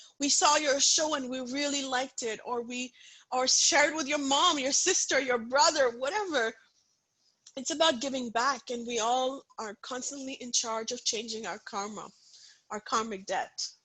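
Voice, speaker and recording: A woman projects her raised voice with a high pitch and a bright, sharp tone. She keeps a moderate pace and ordinary pitch variation. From India, Punjab. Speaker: author and inspirational speaker. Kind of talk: interview. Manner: animated.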